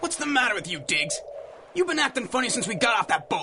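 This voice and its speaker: A man's put-on character voice, gruff, raised and projected, extremely high-pitched with very wide pitch swings, at a very fast pace over clear background noise. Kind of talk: 1930s gangster tough talk. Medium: audio drama. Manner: gruff, bossy, slangy.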